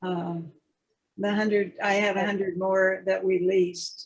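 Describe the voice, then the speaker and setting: In a somewhat breathy medium pitch, a woman speaks at a fairly slow pace with monotone, flat intonation. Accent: American. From California. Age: 90s. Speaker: avocado grower. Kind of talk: casual chat. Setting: video call.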